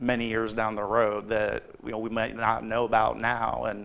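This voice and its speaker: A man with an American accent talks at a fairly slow pace in a medium pitch, his intonation monotone and flat, with vocal fry. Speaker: podcast host and nonprofit founder. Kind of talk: podcast interview host.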